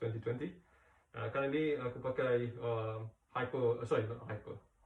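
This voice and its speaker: This man speaks with a Malaysian accent at a medium pitch. His pace is moderate. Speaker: cycling product reviewer. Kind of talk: casual product review. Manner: halting, many fillers.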